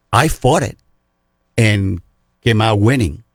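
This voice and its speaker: Very slowly and somewhat breathily, a man talks at a medium pitch with lively intonation, recorded with a dry, close sound and no echo. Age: 60s. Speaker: archery shop expert. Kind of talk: radio interview.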